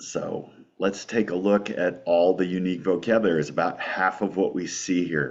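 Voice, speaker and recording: Moderate speed, a very deep and low male voice, and fairly even intonation. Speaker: Greek teacher. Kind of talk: tutorial. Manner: rolls his R sounds.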